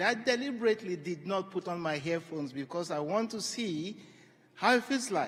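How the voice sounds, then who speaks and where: A man's high voice with lively intonation and a Yoruba accent. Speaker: panel moderator. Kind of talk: conference moderation. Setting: stage with audience. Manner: animated.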